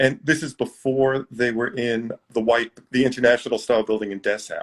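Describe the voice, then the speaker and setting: A man has an unremarkable speaking voice with an American accent, medium pitch and fairly even intonation. He talks at a moderate pace, and the sound is dry and close with no echo. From New York City. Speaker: magazine editor. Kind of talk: casual chat. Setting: video call.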